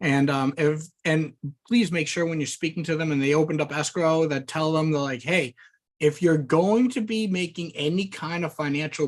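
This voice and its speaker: The speech runs at a moderate pace. The background is quiet. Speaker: loan officer giving training. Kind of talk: training presentation.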